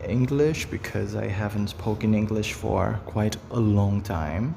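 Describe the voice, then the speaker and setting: A man at a fairly low pitch and fairly slow pace, with noticeable background noise and audible room echo. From Brazil. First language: Portuguese. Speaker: face reading hobbyist, video creator. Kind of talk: casual monologue to camera. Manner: halting, with fillers.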